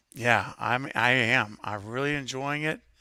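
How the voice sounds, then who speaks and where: A man with a bright, sharp tone, fairly even intonation and a fairly slow pace. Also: very clean recording, silent background. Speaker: YouTuber guest. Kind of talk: casual chat. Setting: livestream. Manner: holding voice back, less boisterous.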